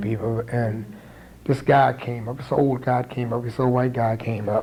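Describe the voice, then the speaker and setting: An American man speaks at a moderate pace in a medium-pitched, somewhat breathy voice. His intonation is monotone and flat. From St. Mary's County, Maryland. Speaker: community activist. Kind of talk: oral history interview answer.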